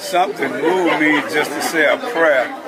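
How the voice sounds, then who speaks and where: A man speaks at a fairly slow pace in a room with audible echo. Crowd noise runs in the background. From Chicago west side. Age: 70s. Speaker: former gang leader turned community activist. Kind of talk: interview storytelling.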